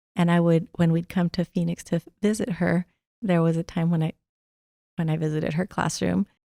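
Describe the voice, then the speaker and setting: The speech moves at a fairly quick pace with fairly even intonation and long, frequent pauses. The sound is dry and close, with no echo. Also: woman, fairly low pitch for a woman. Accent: Spanish. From rural Arizona, Mexican immigrant family. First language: Spanish. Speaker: college administrator. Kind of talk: interview. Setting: studio.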